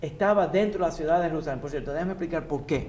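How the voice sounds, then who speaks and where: Audible room echo surrounds a man with a high pitch. His pitch variation is ordinary. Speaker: rabbi teaching a class. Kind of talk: religious lecture.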